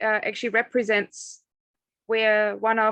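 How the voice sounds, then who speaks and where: A woman at medium pitch with a slight German accent, dry and close with no echo. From northern Germany. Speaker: agricultural consultant. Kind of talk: career talk to students.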